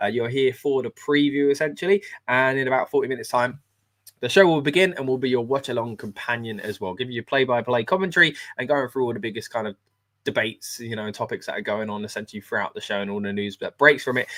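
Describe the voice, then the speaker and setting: With an English accent, a man speaks at a very fast pace and medium pitch. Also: ordinary pitch variation. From England, London. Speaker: wrestling channel host. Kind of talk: live stream watch-along preview. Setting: live stream. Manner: casual, many filler words.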